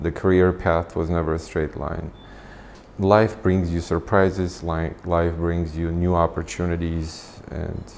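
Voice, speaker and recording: In an Armenian accent, a man with a very deep, low pitch speaks at a fairly slow pace in a monotone, flat intonation. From Armenia, moved to US at 15. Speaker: nonprofit founder and executive. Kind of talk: interview. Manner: hesitant, many fillers.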